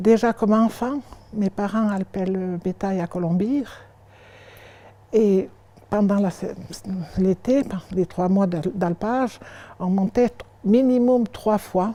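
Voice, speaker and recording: Woman at medium pitch with a dark, mellow tone, a very slow pace and long, frequent pauses. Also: ordinary pitch variation. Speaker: museum guide. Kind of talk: interview answer, personal memories. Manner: enthusiastic.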